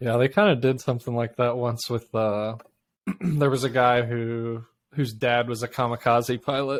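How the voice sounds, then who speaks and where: This man has an unremarkable speaking voice, pitched in the middle of his range, with fairly even intonation. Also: moderate pace. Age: 30s. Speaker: podcast co-host. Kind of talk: casual chat. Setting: video call.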